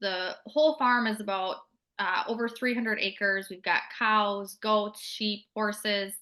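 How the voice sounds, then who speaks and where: This is a woman with a plain, everyday voice. Her pitch is medium and her intonation fairly even. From Minnesota, US. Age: 20s. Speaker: network marketer. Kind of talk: interview. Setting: call.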